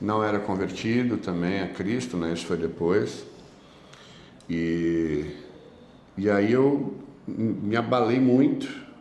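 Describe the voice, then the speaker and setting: Very slowly and with long, frequent pauses, a man speaks in a fairly low pitch with ordinary pitch variation, amid audible room echo. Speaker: evangelical preacher, former addict. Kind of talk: testimony in podcast interview.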